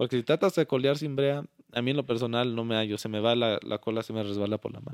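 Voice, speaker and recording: Very fast speech with ordinary pitch variation. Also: man, medium pitch for a man. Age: 20s. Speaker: charro, business owner. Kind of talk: interview.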